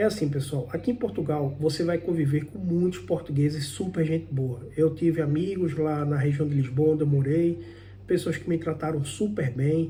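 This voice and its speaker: A man's fairly high, somewhat breathy voice with a dark, mellow tone, at a moderate pace with ordinary pitch variation. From Brazil, Pernambuco backlands (Northeast). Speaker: immigrant vlogger, programmer. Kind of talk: personal vlog monologue. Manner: conversational, some halting repetitions.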